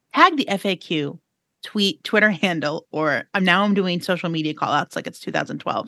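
The woman has a normal speaking voice at a medium pitch and a moderate pace, with lively intonation over a quiet background and a dry, close sound with no echo. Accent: American. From New York City. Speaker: podcast co-host, reporter. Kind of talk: casual chat. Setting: studio.

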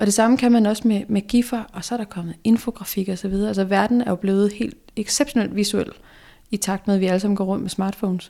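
Speaking at a fairly quick pace with fairly even intonation, a woman uses a dark, mellow tone at medium pitch on a very clean recording with a silent background. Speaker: graphic designer and illustrator. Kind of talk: casual interview. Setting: office.

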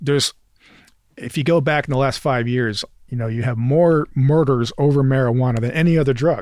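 A man talks at a fairly quick pace with an American accent. His pitch is medium and his intonation fairly even. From western New York (Jamestown, Rochester area). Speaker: criminal defense attorney, political candidate. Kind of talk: casual interview.

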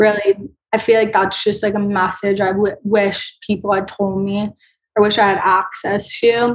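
A woman speaks at a moderate pace with a medium-pitched voice. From Florida. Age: 20s. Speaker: breast cancer survivor. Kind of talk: interview. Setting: video call.

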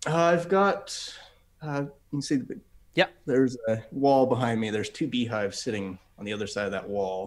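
A man with an American accent and an ordinary speaking voice, medium in pitch, with lively intonation at a moderate pace. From Utah. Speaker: self-taught chemist and science YouTuber. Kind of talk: casual chat. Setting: video call from home garage.

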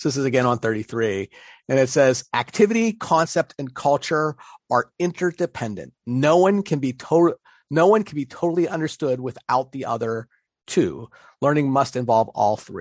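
Over a quiet background, a man with a slight Pittsburgh accent talks at a moderate pace in a fairly high pitch, his lively intonation heard in a dry, close sound with no echo. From Pittsburgh, US. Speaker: podcast co-host on learning theory. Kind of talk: casual podcast chat about education. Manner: halting, self-correcting, conversational.

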